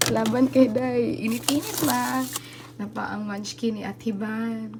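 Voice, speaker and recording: Very slow speech from a woman carries audible room echo along with noticeable background noise. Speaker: vlogger. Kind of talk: casual vlog room tour.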